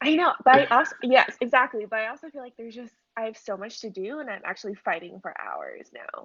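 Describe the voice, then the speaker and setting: Talking at a very fast pace with hardly any pauses, a woman with a Californian accent uses a high pitch. Her intonation is lively and her loudness swings widely. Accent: Californian American English. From US West Coast, San Francisco Bay Area. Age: 20s. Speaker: professional ballet dancer and model. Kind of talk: casual interview chat. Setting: Instagram live video call.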